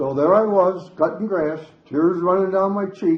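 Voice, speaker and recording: With a Midwestern US accent, a man speaks at a fairly slow pace in a fairly high pitch with ordinary pitch variation. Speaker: senior resident sharing memories. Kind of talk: storytelling talk.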